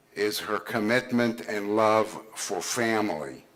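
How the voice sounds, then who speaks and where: His pitch is medium. The voice belongs to a man. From born in Israel, raised in the US from age 9. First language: Hebrew. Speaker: senior care executive speaking at a conference. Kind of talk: conference speech, personal story. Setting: conference stage with audience.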